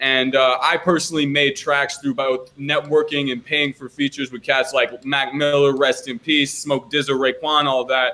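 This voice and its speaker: A man with an American accent, fairly high-pitched and monotone, flat in intonation, at a moderate pace with hardly any pauses. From Washington DC, US. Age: 20s. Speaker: rapper and pianist. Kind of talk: interview.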